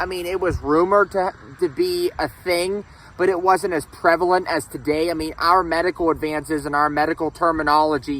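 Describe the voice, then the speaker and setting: Loud and in a Pittsburgh accent, the voice moves at a moderate pace with fairly even intonation. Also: man. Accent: western Pennsylvania (Pittsburgh). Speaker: history vlogger. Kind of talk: casual vlog talk. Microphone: no microphone, camera audio.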